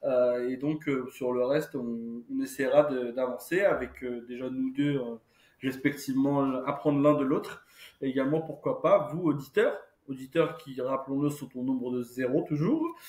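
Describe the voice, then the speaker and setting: Speaking at a fairly slow pace, a man with a fairly high pitch keeps his intonation flat and monotone. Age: 30s. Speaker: podcast co-host. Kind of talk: casual chat. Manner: halting, many fillers.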